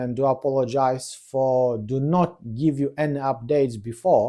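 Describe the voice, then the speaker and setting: At a fairly high pitch, a man with a non-native accent speaks fairly slowly in a dark, mellow tone on a very clean recording with a silent background. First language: not English. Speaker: whisky reviewer. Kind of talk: product review. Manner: halting.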